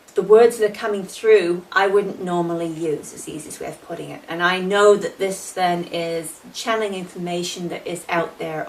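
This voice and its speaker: Amid noticeable background noise, a woman with a fairly low pitch speaks at a moderate pace with fairly even intonation and hardly any pauses. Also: big swings in loudness. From England. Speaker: psychic. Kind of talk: recorded interview answers.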